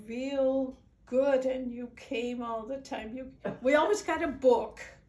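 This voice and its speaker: With a Dutch accent and fairly even intonation, a woman speaks amid audible room echo. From Netherlands. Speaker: immigrant sharing life story. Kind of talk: personal storytelling.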